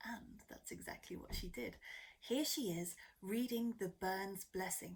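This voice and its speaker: With a British accent, a woman speaks at a fairly slow pace with a medium pitch. Her voice is somewhat breathy, with lively intonation. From Britain. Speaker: community organiser. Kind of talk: narration.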